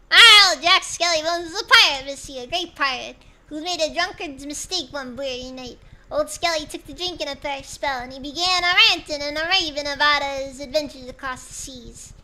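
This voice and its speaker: Putting on a character voice, a woman speaks at a high pitch and a fairly quick pace. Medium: virtual streamer. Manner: rambling, folksy.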